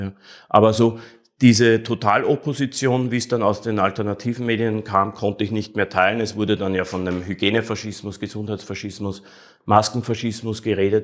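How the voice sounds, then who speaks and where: Against a quiet background, a man talks at a fairly quick pace. His pitch is fairly low and his intonation monotone and flat. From Austria (Vienna). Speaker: artist, actor and streamer; interview guest. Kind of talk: interview; interview answer. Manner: halting, many repetitions. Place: home room. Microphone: lapel.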